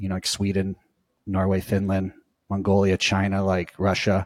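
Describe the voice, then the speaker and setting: In a very clean recording with a silent background, a man with a Southern California accent speaks at a moderate pace and a fairly low pitch. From US West Coast, Orange County, California. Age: 40s. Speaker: surf coach. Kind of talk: interview. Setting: podcast.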